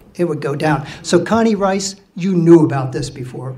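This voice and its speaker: A man speaks with lively intonation in a fairly high voice. Room echo is audible. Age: 60s. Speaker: mariner, ship's officer telling a story. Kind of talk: live storytelling to an audience. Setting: stage with audience. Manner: casual, halting with fillers.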